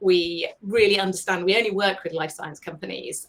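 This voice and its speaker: The speech moves at a moderate pace, its intonation fairly even. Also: woman. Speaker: science writer and communications agency founder. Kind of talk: webinar presentation. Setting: online live broadcast.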